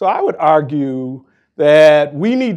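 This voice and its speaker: In a quiet background, a man with an American accent speaks fairly slowly in an unremarkable speaking voice, fairly high in pitch with lively intonation. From Minnesota, Minneapolis. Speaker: nonprofit CEO. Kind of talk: panel discussion.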